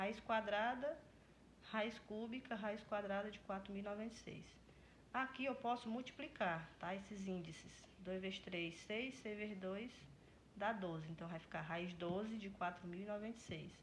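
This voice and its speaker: Amid audible room echo, a woman with a somewhat breathy voice speaks at medium pitch and moderate pace with ordinary pitch variation. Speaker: math teacher. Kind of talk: tutorial.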